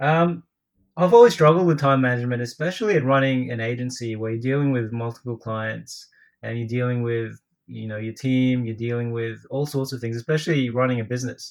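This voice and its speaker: With an Australian accent, a man speaks at a fairly quick pace against a quiet background. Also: medium pitch for a man, ordinary pitch variation. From Australia (Brisbane), Filipino heritage. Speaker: podcast co-host, writer and former marketing agency owner. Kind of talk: casual chat. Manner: joking, laughs often.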